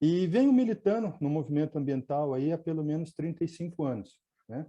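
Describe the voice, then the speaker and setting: Over a quiet background, a man speaks at a moderate pace with ordinary pitch variation. His pitch is fairly high, his tone dark and mellow. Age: 60s. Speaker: environmentalist and radio host. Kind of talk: webinar talk. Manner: halting, with filler words.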